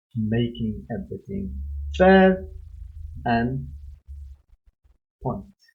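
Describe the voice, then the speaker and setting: A man with a non-native accent speaks at a very slow pace and a medium pitch. His pitch swings very widely as music plays in the background. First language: not English. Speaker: music reaction youtuber. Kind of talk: reaction video commentary. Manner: animated.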